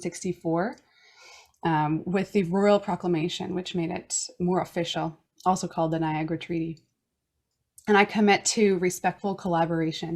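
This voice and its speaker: Speaking at a moderate pace, a woman keeps her fairly low voice in fairly even intonation. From Newfoundland, Canada. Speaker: podcast host. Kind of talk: prepared self-introduction. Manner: formal.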